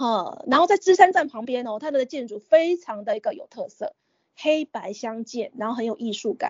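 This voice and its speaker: A woman with a high pitch speaks with very wide pitch swings. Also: moderate pace, big swings in loudness. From Taiwan, Kaohsiung countryside (Renwu). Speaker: opera enthusiast and teacher. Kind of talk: interview.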